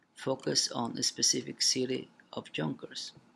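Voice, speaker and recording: He speaks with a non-native accent. The voice belongs to a man. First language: not English. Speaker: college student. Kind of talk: reading aloud.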